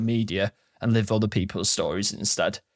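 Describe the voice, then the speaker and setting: Over a silent background in a very clean recording, a man speaks at medium pitch and a moderate pace with monotone, flat intonation. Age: 30s. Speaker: podcast host, entrepreneur. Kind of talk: casual interview chat; motivational monologue.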